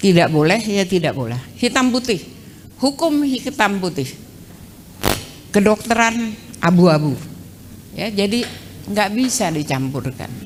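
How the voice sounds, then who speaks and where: A woman speaks at a fairly slow pace with vocal fry and very wide pitch swings. Her long, frequent pauses carry audible room echo. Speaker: law professor. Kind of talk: lecture. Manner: brisk.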